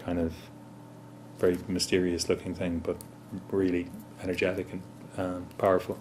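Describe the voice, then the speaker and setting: Using long, frequent pauses, a man with an Irish accent speaks in a very deep, low pitch at a moderate pace with monotone, flat intonation. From Ireland. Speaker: musician. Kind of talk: interview. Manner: hesitant, many fillers.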